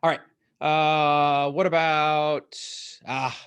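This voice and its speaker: Very slowly, a man talks. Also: quiet background. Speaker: motivational speaker and coach. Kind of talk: live-streamed Q&A talk. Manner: loud; animated.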